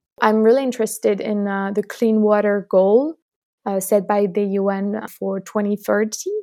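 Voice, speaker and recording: In a French accent, a woman with a dark, mellow, medium-pitched voice speaks at a fairly slow pace in a monotone, flat delivery. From France. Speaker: student climate activist. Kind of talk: interview.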